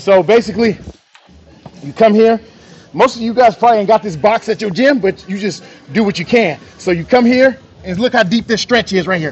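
A man's high-pitched voice at a fairly quick pace with ordinary pitch variation. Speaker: fitness trainer. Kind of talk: tutorial. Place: gym.

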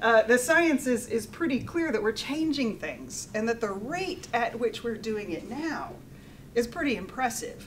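In an American accent, a speaker goes at a fairly slow pace with lively intonation over light background noise. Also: woman, high pitch for a woman. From USA. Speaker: engineering professor. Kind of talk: lecture. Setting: stage with audience. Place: meeting room.

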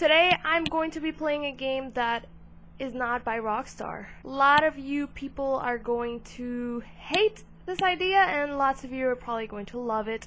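A woman with a high pitch and a bright, sharp tone speaks at a fairly slow pace with ordinary pitch variation over light background noise. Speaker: gaming video creator. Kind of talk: casual vlog chat. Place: home room. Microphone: headset.

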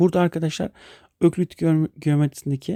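The voice has a dark, mellow tone and fairly even intonation, moving at a fairly quick pace. The sound is dry and close, with no echo. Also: man. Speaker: math teacher. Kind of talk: lecture. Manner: hesitant, many fillers.

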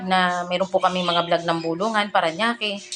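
With music in the background, a woman at a medium pitch talks at a moderate pace with fairly even intonation. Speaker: cooking vlogger. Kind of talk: cooking tutorial. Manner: polite, formal.

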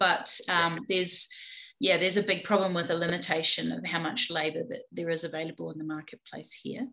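Speaking at a fairly quick pace with a New Zealand accent, a woman has a fairly low pitch, a bright, sharp tone, vocal fry and ordinary pitch variation over a quiet background. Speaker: plumbing business owner; podcast guest. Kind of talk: interview. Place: home room. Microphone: video call.

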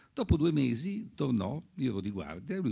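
A man talks at a fairly quick pace with vocal fry and a dark, mellow tone. His pitch swings very widely over a quiet background. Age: 80s+. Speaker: physician and author; doctor on a panel. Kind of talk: panel talk. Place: hall. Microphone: podium.

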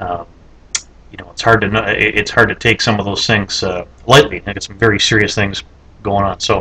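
A man's fairly low voice with a bright, sharp tone, at a moderate pace. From Canada. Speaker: video blogger; political video blogger. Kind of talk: casual monologue. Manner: halting, many fillers and repetitions. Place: office. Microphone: webcam.

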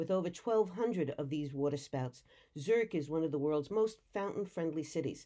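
In a quiet background, a woman with an American accent speaks at a moderate pace, her fairly low, dark, mellow voice carrying lively intonation. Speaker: tour guide. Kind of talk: travelogue narration.

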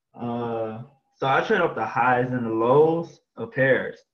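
A somewhat breathy man is heard with audible room echo against a quiet background. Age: 20s. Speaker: forex trader. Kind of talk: screen-share trading tutorial. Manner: casual, slangy. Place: home room. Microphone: webcam.

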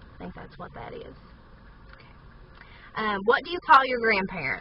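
Someone speaks in an Appalachian accent over light background noise. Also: woman. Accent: Appalachian Southern US. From southern West Virginia, USA. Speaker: vlogger. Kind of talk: casual talk to camera. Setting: inside a parked car. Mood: playful, amused. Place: car. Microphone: phone near.

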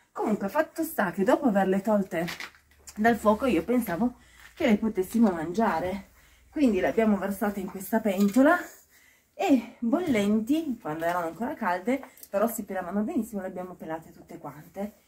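Her pace fairly quick, a woman speaks with lively intonation and big swings in loudness. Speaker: vlogger. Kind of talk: casual vlog chat. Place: open country. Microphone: phone near.

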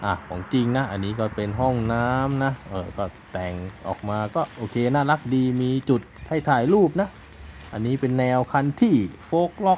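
There is light background noise as a man speaks with lively intonation. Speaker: travel vlogger. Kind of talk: casual vlog chat. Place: garden. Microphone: phone near.

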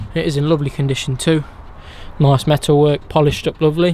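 The speech moves at a moderate pace, with a dry sound with no echo and noticeable background noise. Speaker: motorhome dealer salesman. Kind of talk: sales walkaround commentary. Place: car. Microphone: phone near.

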